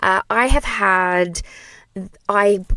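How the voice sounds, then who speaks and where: Here a woman talks with an Australian accent. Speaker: play therapist and trainer. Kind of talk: solo podcast monologue. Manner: animated.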